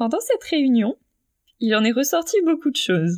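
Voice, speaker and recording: The sound is dry and close, with no echo. A woman talks with lively intonation. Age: 20s. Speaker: interviewee on voluntary sterilisation. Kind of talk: personal testimony interview.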